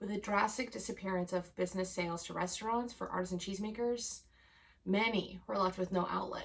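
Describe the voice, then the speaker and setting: Speaking at a fairly quick pace, a woman keeps her medium pitch and fairly even intonation. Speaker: cheese educator and web series co-host. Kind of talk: scripted news segment. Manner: loud.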